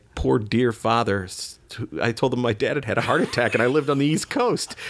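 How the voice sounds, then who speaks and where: Speaking at a fairly quick pace, a man has an unremarkable speaking voice of medium pitch with ordinary pitch variation. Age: 40s. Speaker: recovering alcoholic guest. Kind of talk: casual interview, recovery story.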